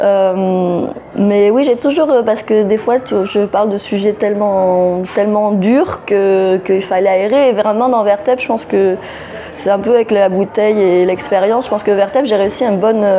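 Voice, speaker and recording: A woman at medium pitch and moderate pace, with fairly even intonation and very even loudness, over noticeable background noise. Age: 30s. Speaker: novelist. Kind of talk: interview. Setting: book festival.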